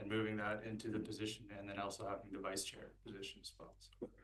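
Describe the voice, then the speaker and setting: A quiet voice carries audible room echo. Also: man. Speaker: board chair. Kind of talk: council meeting.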